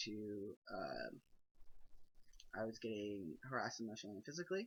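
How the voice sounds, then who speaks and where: A man talking at a moderate pace. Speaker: video blogger. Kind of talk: personal vlog monologue. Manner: hesitant, many fillers.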